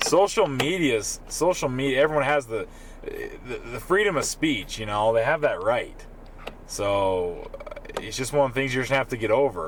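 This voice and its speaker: A man's fairly high voice at a moderate pace, with lively intonation and noticeable background noise. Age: 30s. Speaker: police officer. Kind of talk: casual chat. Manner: halting.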